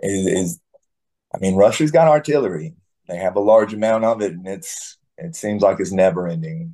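With an American accent, a man speaks at a moderate pace in a fairly low pitch. His tone is dark and mellow, and his pitch swings very widely. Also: big swings in loudness. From US South. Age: 40s. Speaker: war veteran. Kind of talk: interview. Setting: video call.

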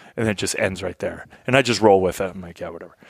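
Talking at a very fast pace, a man with a very deep, low voice and an American accent is heard with a dry, close sound that has no echo. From Kentucky, US (military family). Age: 40s. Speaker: Air Force veteran. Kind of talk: casual chat. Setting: hunting camp.

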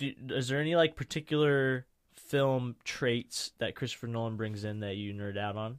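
In an American accent, a man speaks at a moderate pace with ordinary pitch variation and an unremarkable speaking voice. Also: very clean recording, silent background. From US Midwest. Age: 20s. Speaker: podcast host. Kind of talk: casual chat. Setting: studio.

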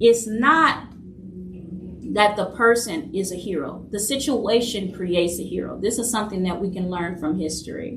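Heard with audible room echo, a woman speaks at medium pitch and a moderate pace, with ordinary pitch variation. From New Orleans, Louisiana. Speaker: podcast host, leadership coach and author. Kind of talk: solo monologue podcast.

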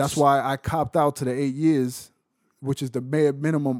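Animated and at a fairly quick pace, a man speaks with a New York accent at a medium pitch. The recording is very clean and silent in the background, dry and close with no echo. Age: 20s. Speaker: former inmate on work release. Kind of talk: interview storytelling.

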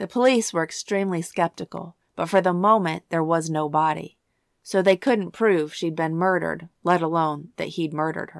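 A woman's ordinary speaking voice, fairly low in pitch, with ordinary pitch variation and a moderate pace, in a dry, close sound with no echo on a very clean recording with a silent background. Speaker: true crime podcast host. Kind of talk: true-crime narration, scripted and read aloud in a solemn, storytelling tone. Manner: measured, even-paced and grave, with clear factual delivery; somber and sympathetic when describing the family's grief.

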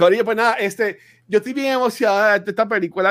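The speaker is a man. His voice rises and falls a normal amount. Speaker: podcast host. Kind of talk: casual banter about a movie.

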